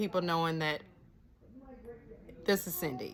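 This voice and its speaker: Over noticeable background noise, a woman speaks with a fairly low pitch. Her pitch variation is ordinary. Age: 50s. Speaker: nurse practitioner and vlogger. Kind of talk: casual vlog monologue. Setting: cabin in the mountains. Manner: laid-back.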